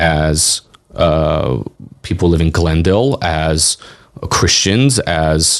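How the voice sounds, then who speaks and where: A man with a Californian accent speaks at a very slow pace with long, frequent pauses. His pitch is very deep and low, and his intonation is lively. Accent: Californian American English. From Los Angeles, Hollywood. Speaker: community advocate and county commissioner. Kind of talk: podcast interview. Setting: studio.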